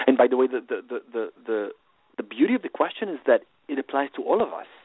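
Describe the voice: The speech is fast, with big pitch swings and a slightly husky edge. The sound is dry and close, with no echo. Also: man, medium pitch for a man.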